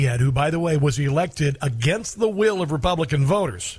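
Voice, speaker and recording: A man speaks with an energetic tone and a fairly high pitch. His voice is somewhat breathy. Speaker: talk radio host. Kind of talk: talk radio with callers. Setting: studio. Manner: fast, energetic.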